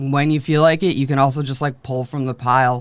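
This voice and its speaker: At a fairly quick pace, a woman speaks. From US Midwest, Chicago. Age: 30s. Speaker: podcast host and comedian. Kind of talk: casual chat.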